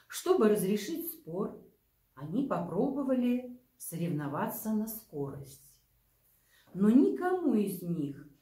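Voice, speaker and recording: In a quiet room with audible echo, a woman speaks very slowly, her pitch swinging very widely. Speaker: librarian or storyteller. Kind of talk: reading a fable aloud. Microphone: camera far.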